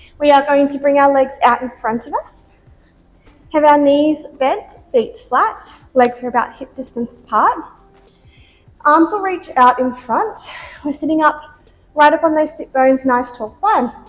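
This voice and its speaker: Over music in the background, a woman with a high pitch and lively intonation speaks at a fairly slow pace with long, frequent pauses. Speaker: pilates instructor. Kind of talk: workout instruction. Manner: encouraging.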